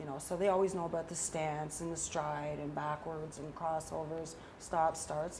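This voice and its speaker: A woman's fairly low voice with a Canadian accent, a fairly slow pace, and audible room echo. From Ontario, Canada (Durham region). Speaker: skating coach. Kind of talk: interview. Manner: animated.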